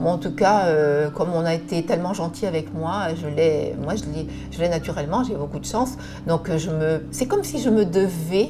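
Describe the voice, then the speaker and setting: Fairly low pitch from a woman, with audible room echo and noticeable background noise. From France, Charente. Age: 60s. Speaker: image consultant. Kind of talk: personal testimony. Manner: hesitant, many filler sounds.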